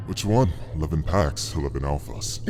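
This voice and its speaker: A man performs in a put-on character voice. Clear background noise runs underneath. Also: moderate pace. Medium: audio drama. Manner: leering, mocking.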